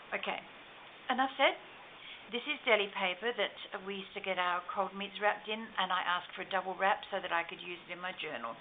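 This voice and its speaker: A woman talks at a very fast pace with lively intonation, a medium pitch, big swings in loudness and noticeable background noise. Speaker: crafter. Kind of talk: show and tell tutorial.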